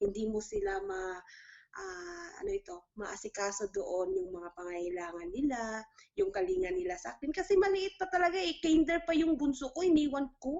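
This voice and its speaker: A woman's high voice at a moderate pace, with very wide pitch swings. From Philippines, Mindanao (General Santos). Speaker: overseas domestic worker. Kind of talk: interview testimony.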